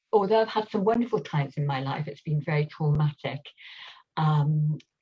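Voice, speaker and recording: A woman speaks at a very deep, low pitch. Her tone is dark and mellow, and somewhat breathy. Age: 70s. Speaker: workshop participant. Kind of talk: sharing circle testimony. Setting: live video call. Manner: halting.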